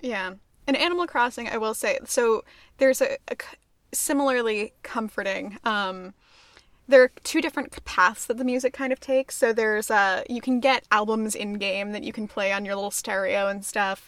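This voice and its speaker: At a moderate pace, a woman talks in an unremarkable speaking voice with a fairly high pitch. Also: ordinary pitch variation, very clean recording, silent background. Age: 20s. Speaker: podcast co-host. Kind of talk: casual chat.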